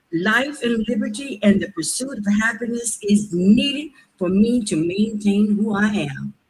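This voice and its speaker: A woman with an American accent speaks at a fairly slow pace in a fairly high pitch. Her voice is somewhat breathy, with ordinary pitch variation. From US. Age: 70s. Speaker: public commenter, healthcare professional. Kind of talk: public comment at government hearing. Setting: public meeting.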